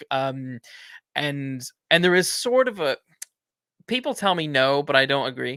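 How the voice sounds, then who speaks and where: In a very clean recording with a silent background and a dry, close sound with no echo, a man with an American accent speaks fairly slowly with long, frequent pauses, a fairly high pitch, ordinary pitch variation and a bright, sharp tone. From US Midwest, Indiana. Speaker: podcast host. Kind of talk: podcast interview.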